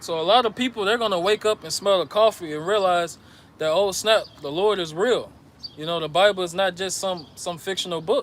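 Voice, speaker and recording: A man with an American accent speaks at a fairly quick pace. His pitch is high, with ordinary variation. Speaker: religious teacher. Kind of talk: sermon. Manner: stuttering at times.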